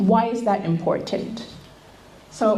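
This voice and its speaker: At a moderate pace, a woman speaks through noticeable background noise and audible room echo. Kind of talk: seminar talk.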